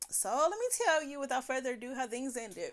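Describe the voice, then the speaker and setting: The background is silent and the recording very clean. A woman talks with lively intonation. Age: 40s. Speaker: podcaster. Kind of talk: personal monologue. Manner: loud.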